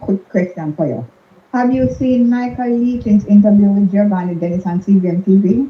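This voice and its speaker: The speech runs at a fairly quick pace with very wide pitch swings. Noticeable background noise sits underneath. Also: woman. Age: 70s. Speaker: caller. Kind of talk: phone-in chat.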